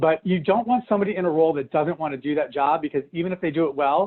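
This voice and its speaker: A man at a very fast pace, high-pitched, with ordinary pitch variation. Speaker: business coach for healthcare practice owners. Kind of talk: business training talk. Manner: animated.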